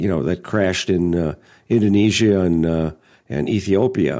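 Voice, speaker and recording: A man with a fairly low pitch speaks in a very clean recording with a silent background. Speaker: bizjet pilot and editor.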